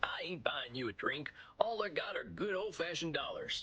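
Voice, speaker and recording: A man's put-on character voice, high in pitch, at a moderate pace with light background noise. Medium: video game. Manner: folksy.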